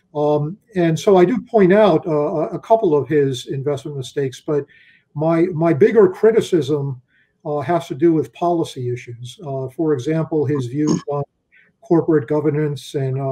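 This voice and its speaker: In an American accent, a man with a fairly high pitch and a dark, mellow tone speaks at a fairly slow pace. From US Northeast, Philadelphia. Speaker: investment officer; guest. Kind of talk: interview. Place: home room. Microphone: webcam.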